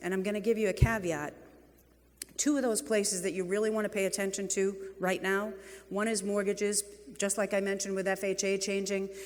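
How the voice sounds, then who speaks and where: Animated and fairly quick, the speech comes with a New England accent and long, frequent pauses. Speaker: real estate executive and keynote speaker. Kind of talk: conference keynote speech. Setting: stage with audience.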